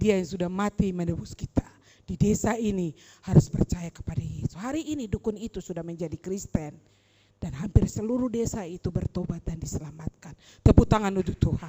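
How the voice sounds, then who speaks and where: Speaking at medium pitch and a fairly quick pace, a woman uses a somewhat breathy, dark, mellow tone, lively intonation and big swings in loudness, captured with a dry, close sound and no echo. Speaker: preacher. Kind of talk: sermon. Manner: animated.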